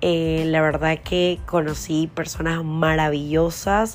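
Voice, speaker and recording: Noticeable background noise behind a woman's very deep, low voice, fairly even in intonation and very slow in pace. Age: 30s. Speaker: podcast host and TV presenter. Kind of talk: casual monologue.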